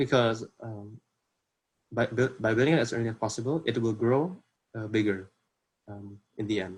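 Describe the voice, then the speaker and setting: A man with an Indonesian accent speaks at a fairly quick pace and a medium pitch. The recording is very clean, with a silent background. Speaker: workshop presenter. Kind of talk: workshop presentation. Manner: halting, many fillers.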